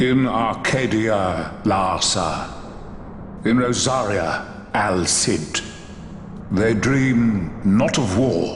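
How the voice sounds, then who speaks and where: A put-on character voice at a very slow pace, with long, frequent pauses, very even loudness, slight echo and loud background noise. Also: man, medium pitch for a man. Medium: video game. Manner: slow, serene, cryptic.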